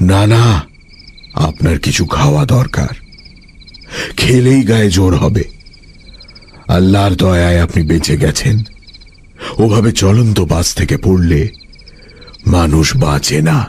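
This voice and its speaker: A put-on character voice from a man, fairly slow, with a very deep, low pitch. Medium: audio drama. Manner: formal and polite, turning commanding.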